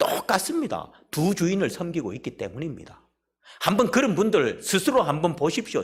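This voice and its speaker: At a moderate pace, a man talks in a high pitch. His voice moves in very wide pitch swings. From South Korea, Busan. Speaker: pastor. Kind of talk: sermon. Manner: emphatic.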